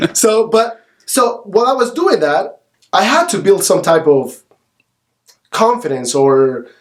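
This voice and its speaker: A man speaks slowly in a high pitch, leaving long, frequent pauses. His pitch swings very widely. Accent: Spanish. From El Salvador. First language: Spanish. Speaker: realtor. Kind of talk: podcast interview. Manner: animated.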